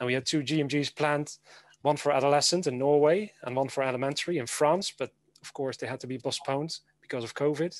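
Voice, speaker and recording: A man with a Dutch accent talks very fast at a fairly high pitch, with big swings in loudness and a dry sound with no echo. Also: fairly even intonation. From Netherlands. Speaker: educator. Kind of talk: conference presentation. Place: home room. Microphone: webcam.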